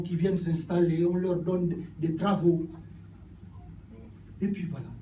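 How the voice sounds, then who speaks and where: A man with a high-pitched yet dark, mellow tone speaks at a very slow pace. His intonation is monotone and flat, with audible room echo. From Gabon. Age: 70s. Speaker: politician. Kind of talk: political speech.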